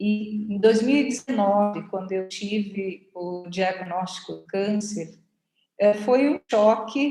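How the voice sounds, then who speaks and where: Speaking very slowly at a medium pitch, a woman shows ordinary pitch variation and big swings in loudness. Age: 60s. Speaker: cancer patient, physical education teacher. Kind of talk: personal testimony.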